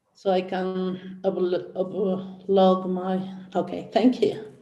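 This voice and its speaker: A woman talks at a very slow pace with a medium pitch and a dark, mellow tone. Audible room echo surrounds her voice. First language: Spanish. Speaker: professor. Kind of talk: academic presentation. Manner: halting.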